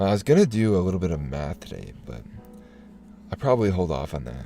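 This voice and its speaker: Music plays in the background as a man speaks at a very fast pace in a very deep, low pitch. His voice has very wide pitch swings and big swings in loudness. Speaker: streamer. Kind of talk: casual chat. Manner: halting, many fillers and restarts.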